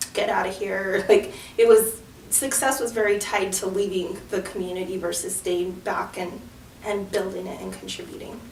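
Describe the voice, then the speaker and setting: A woman with an American accent at medium pitch and a moderate pace, fairly even in intonation, with big swings in loudness over noticeable background noise. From Antonito, Colorado, San Luis Valley. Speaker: community organizer, clean water NGO founder. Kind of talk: interview answer.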